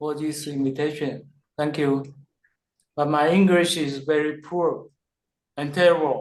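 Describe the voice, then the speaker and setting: The speaker has a Chinese accent and talks at a fairly slow pace with long, frequent pauses. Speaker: poet. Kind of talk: casual chat. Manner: halting.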